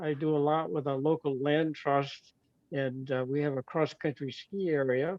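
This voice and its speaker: Speaking with a Maine accent, a man uses fairly even intonation, a moderate pace, and a fairly high pitch. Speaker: retired physician. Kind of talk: casual chat.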